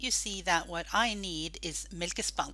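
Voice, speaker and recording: A woman with a Norwegian accent speaks at a fairly slow pace on a very clean recording with a silent background. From Norway. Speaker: gaming group admin. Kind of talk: tutorial.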